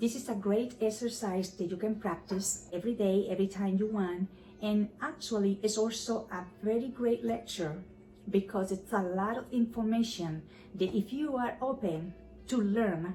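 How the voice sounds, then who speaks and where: A woman speaks with a Spanish accent. Her pitch is medium, with ordinary variation. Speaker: YouTuber practicing English by reading scripture. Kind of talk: casual commentary to camera; reading aloud. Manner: deliberate, careful articulation.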